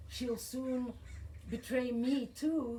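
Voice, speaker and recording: Audible room echo surrounds a woman with a high pitch. She speaks at a very slow pace with fairly even intonation. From Belgium. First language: French and Flemish. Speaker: poet. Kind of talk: poetry reading.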